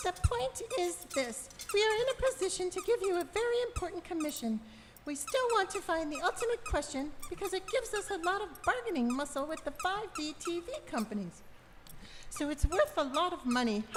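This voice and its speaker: A squeaky, put-on character voice at an extremely high pitch leaps through very wide pitch swings at a fairly quick pace, with clear background noise. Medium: stage play. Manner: brisk, blunt.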